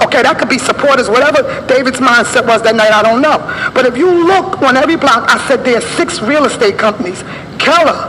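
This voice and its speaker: With an American accent, a woman speaks fairly quickly in an animated tone, and the recording has audible room echo and noticeable background noise. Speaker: community activist. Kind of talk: public comment at council meeting. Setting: council meeting at microphone. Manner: fast.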